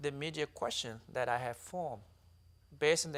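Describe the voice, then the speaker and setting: A man with a South Sudanese accent speaks with ordinary pitch variation. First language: Dinka. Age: 30s. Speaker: author and activist. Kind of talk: interview testimony.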